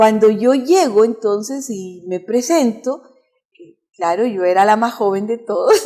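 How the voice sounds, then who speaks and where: A woman's fairly high-pitched voice in a dark, mellow tone, at a fairly slow pace with ordinary pitch variation and big swings in loudness. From Chile. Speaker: pastor and music teacher. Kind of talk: interview.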